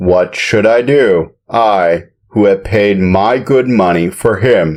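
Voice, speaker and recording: A man's put-on character voice, fairly low in pitch, with ordinary pitch variation and a very slow pace. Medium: read story. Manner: blunt, matter-of-fact.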